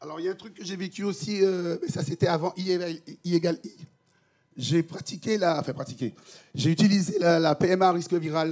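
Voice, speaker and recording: A man talks at a high pitch and a moderate pace, with long, frequent pauses. His pitch varies in an ordinary way, while his loudness swings widely. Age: 60s. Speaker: HIV patient advocate, association president. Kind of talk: personal testimony at a conference panel. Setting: conference with audience. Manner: halting, many repetitions and hesitations.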